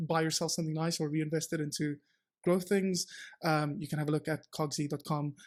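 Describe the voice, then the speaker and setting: On a very clean recording with a silent background, a man speaks very fast in a fairly high pitch with monotone, flat intonation. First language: Afrikaans. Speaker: entrepreneur, startup founder. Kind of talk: podcast interview. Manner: hesitant, many fillers and restarts.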